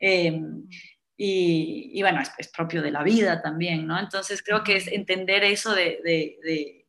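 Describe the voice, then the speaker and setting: Her tone is bright and sharp, at a medium pitch with fairly even intonation. The woman keeps a moderate pace. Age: 20s. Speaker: psychotherapist. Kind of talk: casual chat. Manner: halting, many repetitions.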